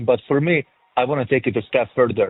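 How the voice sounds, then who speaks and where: A man with a strong European accent, fairly even intonation and a moderate pace. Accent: thick European. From former Yugoslavia. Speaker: film director and producer. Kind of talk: interview. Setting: remote interview.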